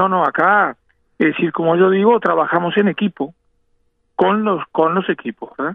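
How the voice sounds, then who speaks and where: Moderate pace and ordinary pitch variation from a man with a high voice. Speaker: national football team doctor. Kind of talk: radio interview.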